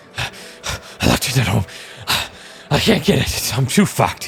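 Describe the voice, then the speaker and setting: A man uses a raspy, put-on character voice over clear background noise. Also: medium pitch for a man, moderate pace. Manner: strained, panicked.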